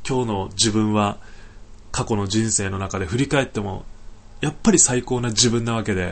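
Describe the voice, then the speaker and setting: This man uses an ordinary speaking voice, pitched fairly low. He talks at a moderate pace with ordinary pitch variation. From Niigata, Japan (Sanjo). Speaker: podcaster, environmental volunteer. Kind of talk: casual solo talk. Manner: relaxed, many filler words.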